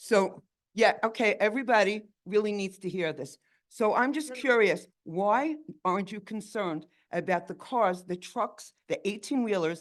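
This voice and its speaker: At a fairly slow pace, a woman with lively intonation uses an unremarkable speaking voice at a medium pitch. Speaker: resident speaking at community meeting. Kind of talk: public comment at meeting.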